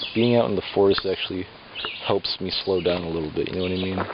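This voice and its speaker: Noticeable background noise accompanies a man whose voice is very deep and low. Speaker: vlogger. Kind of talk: casual vlog monologue. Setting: outdoors in a forest, walking. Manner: fast; halting.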